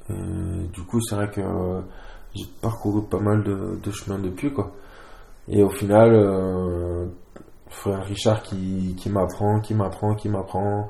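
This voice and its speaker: The speech comes very slowly in a flat monotone, with long, frequent pauses. Audible room echo is present. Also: man, fairly low pitch for a man. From southern France. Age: 20s. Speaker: rugby player. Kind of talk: casual interview. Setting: at his home. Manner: halting.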